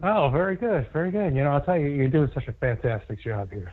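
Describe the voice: Speaking at a fairly quick pace, a man uses lively intonation at a fairly high pitch.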